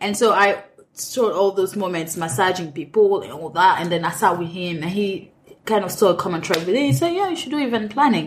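A woman talks fairly quickly at a medium pitch with lively intonation. Noticeable background noise runs underneath. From Cameroon. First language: French. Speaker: restaurant manager and event planner. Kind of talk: interview conversation. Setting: in-person interview. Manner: frequent laughter.

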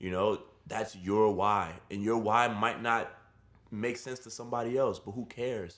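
A man with an American accent and an ordinary speaking voice, medium in pitch, at a moderate pace, with fairly even intonation and big swings in loudness. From New York City, Brooklyn. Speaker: fitness instructor. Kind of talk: casual interview.

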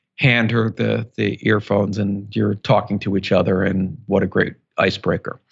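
Moderate pace, monotone, flat intonation and vocal fry, with an American accent. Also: man, fairly low pitch for a man. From US Northeast, Philadelphia. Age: 50s. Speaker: author and entrepreneur. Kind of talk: interview.

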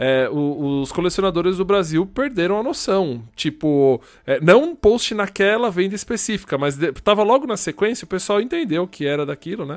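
In a very clean recording with a silent background, a man with a high pitch talks at a moderate pace with lively intonation. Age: 30s. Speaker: podcast co-host, game collector. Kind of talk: casual chat.

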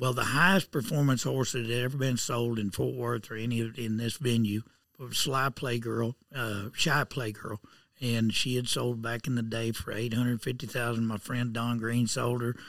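A man talks at a moderate pace with a medium pitch and fairly even intonation. He speaks in a rural Southern Plains accent. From southern Kansas. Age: 60s. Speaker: horse auctioneer. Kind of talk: interview. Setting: auction barn.

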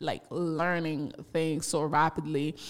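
On a very clean recording with a silent background, a woman speaks with a Haitian accent. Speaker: podcaster. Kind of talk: personal storytelling monologue. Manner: laughs often.

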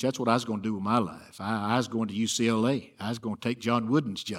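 This man has a Southern US accent. He talks at a very fast pace. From Alabama. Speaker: preacher. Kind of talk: sermon. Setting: church.

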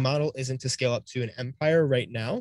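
A man with a plain, everyday voice and an American accent, medium pitch, fairly even intonation and a fairly quick pace, in a dry, close sound with no echo. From Cleveland, Ohio. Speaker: online reseller and YouTuber. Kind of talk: casual interview.

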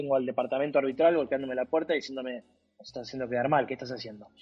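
A man in a Rioplatense accent with fairly even intonation. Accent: Argentine Rioplatense Spanish. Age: 40s. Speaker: sports journalist and digital content executive. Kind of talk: interview. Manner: talks nonstop; hesitant, with repetitions.

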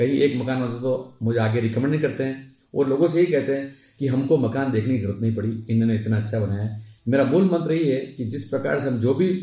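In a room with audible echo, a man speaks at medium pitch with ordinary pitch variation and a dark, mellow, somewhat breathy tone. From Udaipur, Rajasthan, India. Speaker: civil contractor and local politician. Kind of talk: life story interview.

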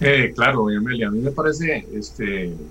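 A man speaks at a moderate pace in a fairly low pitch, with vocal fry and very wide pitch swings. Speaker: legislator. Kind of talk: political debate.

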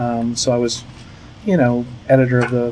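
A man with an American accent speaks at a medium pitch. Noticeable background noise runs behind him. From Virginia Beach, Virginia, US. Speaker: PR and marketing agency head. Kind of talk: interview. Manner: halting, many fillers.

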